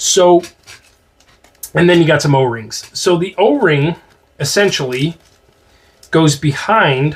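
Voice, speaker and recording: Long, frequent pauses mark this very slow delivery with an American accent. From northeastern US. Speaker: airgun reviewer. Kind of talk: product review tutorial. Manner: casual, many fillers.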